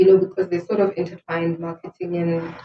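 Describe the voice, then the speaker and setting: A woman's fairly low, somewhat breathy voice holds a monotone, flat intonation. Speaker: entrepreneur and marketing/HR professional. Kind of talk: interview.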